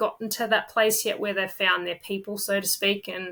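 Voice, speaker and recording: In an Australian accent, a woman delivers a bright, sharp tone at medium pitch with monotone, flat intonation on a very clean recording with a silent background. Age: 30s. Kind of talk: podcast interview.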